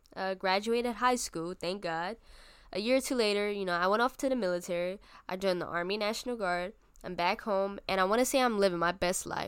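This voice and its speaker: A woman with an American accent speaks at a fairly quick pace, her pitch medium and its variation ordinary. It is an ordinary speaking voice, caught on a very clean recording with a silent background. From Bronx, New York. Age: 20s. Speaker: podcast host. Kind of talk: casual personal monologue.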